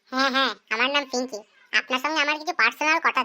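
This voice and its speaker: A cartoonish character voice moves at a fairly quick pace with ordinary pitch variation, in a very clean recording with a silent background. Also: woman, high pitch for a woman. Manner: teasing, suggestive.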